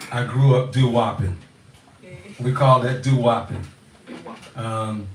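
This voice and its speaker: A man speaks with an American accent at a moderate pace. His pitch is medium. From Louisiana, US South. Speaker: musician, father in family band. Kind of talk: casual storytelling in live Q&A.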